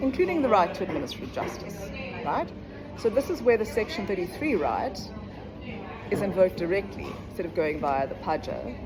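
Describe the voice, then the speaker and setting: A woman speaks with very wide pitch swings and long, frequent pauses. Noticeable background noise and audible room echo surround her. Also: medium pitch for a woman, fairly quick pace. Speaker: law educator. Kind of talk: legal explainer lecture. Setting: coffee shop. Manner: casual, conversational.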